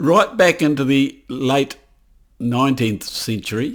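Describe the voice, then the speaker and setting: He speaks with a New Zealand accent. The man's pace is very slow. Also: very clean recording, silent background. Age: 80s+. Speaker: political commentator. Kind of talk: video monologue. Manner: halting.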